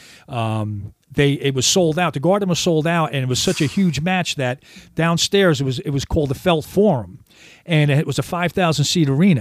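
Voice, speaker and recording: A normal speaking voice with lively intonation moves at a moderate pace on a very clean recording with a silent background. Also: man, fairly high pitch for a man. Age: 60s. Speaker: retired pro wrestler and weightlifter. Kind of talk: casual radio interview. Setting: radio studio.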